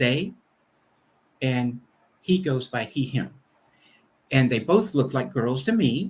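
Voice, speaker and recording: Somewhat breathy and fairly high for a man, his voice carries lively intonation at a moderate pace. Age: 60s. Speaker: minister. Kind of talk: conversational interview.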